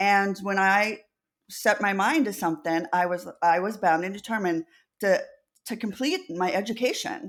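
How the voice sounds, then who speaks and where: At a moderate pace, a normal speaking voice comes through with ordinary pitch variation. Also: woman, medium pitch for a woman. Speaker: deaf advocate. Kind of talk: interview answer.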